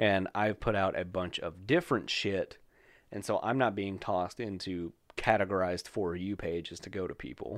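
On a very clean recording with a silent background, a man with a normal speaking voice talks at a fairly low pitch and moderate pace, with ordinary pitch variation. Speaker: podcast host. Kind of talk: casual banter, comedic chat. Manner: profane, joking, rambling.

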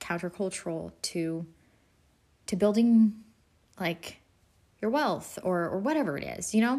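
In a very clean recording with a silent background, a woman speaks. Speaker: faith podcast host. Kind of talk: casual solo talk. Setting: home, sitting on living room floor. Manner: hyper from caffeine.

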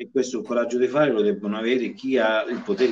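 At a fairly quick pace, a man speaks in a normal speaking voice with a medium pitch. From Villanova, province of Viterbo, Italy. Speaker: trade union official. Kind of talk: interview.

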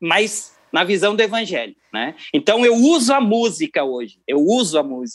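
A man's high-pitched voice with very wide pitch swings, a moderate pace and hardly any pauses. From Rio Grande do Sul, Brazil (Cruz Alta). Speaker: keyboardist and music producer. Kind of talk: interview.

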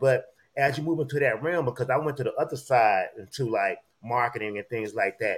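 The man sounds animated. His voice is somewhat breathy. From US Gulf Coast (Biloxi area). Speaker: podcast host. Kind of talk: casual chat. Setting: livestream.

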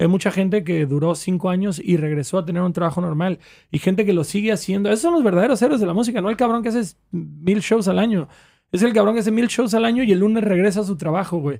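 A man with a high pitch and a dark, mellow tone talks at a very fast pace with ordinary pitch variation. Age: 30s. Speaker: rapper. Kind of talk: casual chat.

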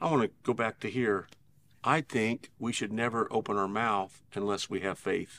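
A man's ordinary speaking voice at medium pitch, with a moderate pace and fairly even intonation, on a very clean recording with a silent background and a dry, close sound with no echo. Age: 60s. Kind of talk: conversational Bible teaching. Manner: earnest, steady, exhortative.

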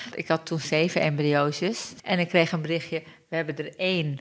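At a moderate pace, a woman in an ordinary speaking voice with fairly low pitch. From Turkey. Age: 40s. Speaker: mother sharing her birth story. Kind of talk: testimony.

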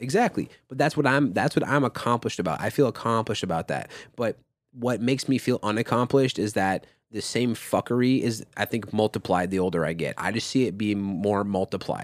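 With a normal speaking voice and an American accent, a man talks at a medium pitch and a fairly quick pace with ordinary pitch variation, in a dry, close sound with no echo. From Minnesota, US. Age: 20s. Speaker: podcast host and music artist. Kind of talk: casual chat.

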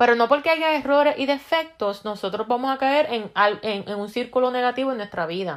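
High-pitched woman talking at a fairly quick pace, with lively intonation. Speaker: self-help video host. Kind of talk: casual monologue. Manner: fast; halting, many repeated words.

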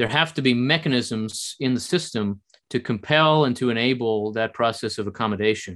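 A man with an American accent and an ordinary speaking voice, medium in pitch, at a moderate pace with ordinary pitch variation, over a quiet background. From US, New Jersey. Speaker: think tank scholar. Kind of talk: interview.

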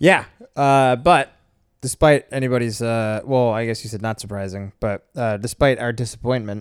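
The recording is very clean, with a silent background. A man with medium pitch speaks in an ordinary speaking voice, with fairly even intonation and a fairly quick pace. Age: 40s. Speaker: podcast co-host. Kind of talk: casual chat. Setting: home recording late at night.

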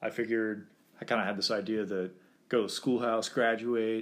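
A man with an American accent speaks at a fairly quick pace in a fairly low pitch. It is an unremarkable speaking voice. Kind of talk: casual interview.

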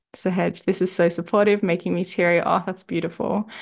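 A woman speaks in a normal speaking voice at a fairly quick pace, with medium pitch, ordinary pitch variation and a quiet background. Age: 30s. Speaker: nutritionist and mindset coach podcast host. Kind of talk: coaching talk.

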